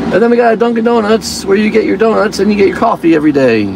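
Very fast and high-pitched, a man talks over noticeable background noise, the sound dry with no echo. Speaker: mock tour guide. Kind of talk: mock tour-guide patter, casual ad-libbed commentary. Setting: in a car, parked near a shopping strip. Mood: joking, playful. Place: car. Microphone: phone near.

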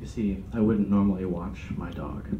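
A man talking at a moderate pace over loud background noise. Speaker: comedian. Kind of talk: stand-up comedy set. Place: meeting room. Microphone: camera far.

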